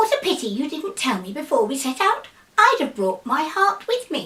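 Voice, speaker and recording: Putting on a squeaky character voice, a woman speaks high-pitched at a moderate pace with very wide pitch swings. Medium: read story.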